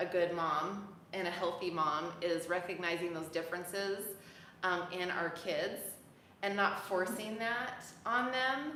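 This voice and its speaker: A woman with a medium pitch and ordinary pitch variation speaks at a fairly slow pace, with audible room echo and noticeable background noise. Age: 40s. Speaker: dance fitness founder hosting a live chat. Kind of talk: casual chat. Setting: live stream video chat. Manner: animated.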